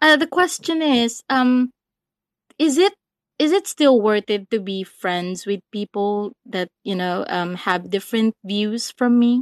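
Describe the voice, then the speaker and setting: At a very slow pace, a woman with a fairly high pitch speaks with lively intonation, in a dry, close sound with no echo. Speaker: caller. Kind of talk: personal advice call. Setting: remote call with patchy connection.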